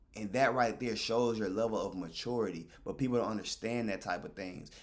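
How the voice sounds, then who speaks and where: A man at a moderate pace. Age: 20s. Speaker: streamer. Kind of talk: casual monologue to stream chat. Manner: animated.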